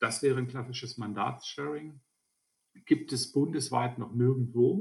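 At a moderate pace, a man with a medium pitch speaks in a somewhat breathy voice and a monotone, flat intonation. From Lower Saxony, Germany (Alfeld). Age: 50s. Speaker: state politician. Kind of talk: interview.

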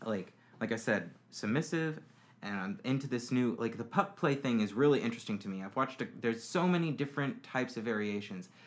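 With a normal speaking voice at medium pitch, a man talks at a fairly quick pace with lively intonation. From Florida. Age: 20s. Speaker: podcast interviewee. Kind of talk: casual interview about personal life.

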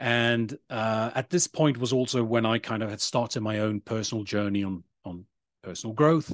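In a dry, close sound with no echo, a man with a British accent speaks at medium pitch and a moderate pace, with ordinary pitch variation. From Sweden. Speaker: digital nomad and sustainable tourism advocate. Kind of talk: interview conversation. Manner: halting, many fillers and repetitions.

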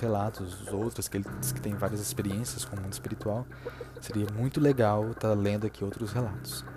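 With music in the background, a man with a fairly low pitch talks at a fairly quick pace, his pitch swinging very widely. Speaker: podcast host. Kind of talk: ghost story telling, reading a listener's account aloud. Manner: casual, halting with fillers.

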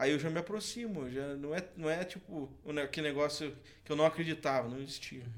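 A man talks with a fairly high pitch. His intonation stays fairly even. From Santa Catarina, Brazil (Canoinhas). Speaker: singer. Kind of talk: casual chat.

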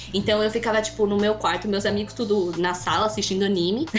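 Fairly quick speech at very even loudness, with audible room echo and music in the background. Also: woman. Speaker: cannabis content creator. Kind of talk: casual chat.

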